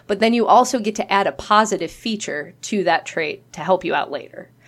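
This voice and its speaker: This is a woman with a plain, everyday voice and ordinary pitch variation. She speaks at a moderate pace on a very clean recording with a silent background. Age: 30s. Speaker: podcast co-host and teacher. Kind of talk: casual chat.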